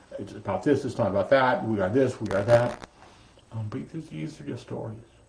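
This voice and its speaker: Over noticeable background noise, a man talks at a fairly quick pace with lively intonation and big swings in loudness. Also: medium pitch for a man. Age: 60s. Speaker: meditation teacher. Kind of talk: dharma talk. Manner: halting.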